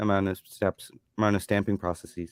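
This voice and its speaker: A man with a fairly low voice speaks in fairly even intonation, the sound dry and close with no echo on a very clean recording over a silent background. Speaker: watch channel host. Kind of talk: casual live-stream chat. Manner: halting, many fillers.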